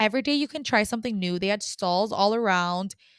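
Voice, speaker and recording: A woman's fairly high, animated voice with ordinary pitch variation, on a very clean recording against a silent background. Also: dry, close sound with no echo. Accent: American. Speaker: former English teacher abroad, podcaster. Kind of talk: casual advice monologue. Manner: loud.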